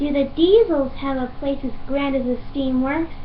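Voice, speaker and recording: A female-sounding, put-on character voice speaks high and at a moderate pace. Background noise is clearly heard. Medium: fan dub. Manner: warm, enthusiastic.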